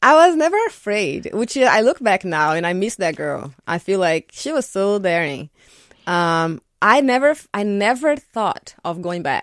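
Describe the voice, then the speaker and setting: A woman with a Portuguese accent at medium pitch and a fairly slow pace, with very wide pitch swings, in a dry, close sound with no echo on a very clean recording with a silent background. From Brazil, São Paulo. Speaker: architect. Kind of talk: radio interview. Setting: radio studio.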